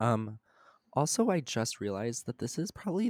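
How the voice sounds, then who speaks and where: In a very clean recording with a silent background and a dry, close sound with no echo, a man uses an ordinary speaking voice at a medium pitch and a moderate pace. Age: young. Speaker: student podcast co-host. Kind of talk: casual chat.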